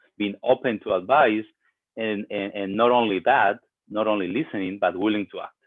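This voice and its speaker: A man with a Spanish accent, fairly low in pitch, at a fairly quick pace. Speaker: pastor. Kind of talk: sermon. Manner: hesitant, many fillers.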